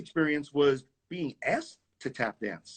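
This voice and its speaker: In a dry, close sound with no echo, a man speaks with a New York accent. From New York City (Queens). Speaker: tap dancer. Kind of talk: casual interview. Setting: live video stream.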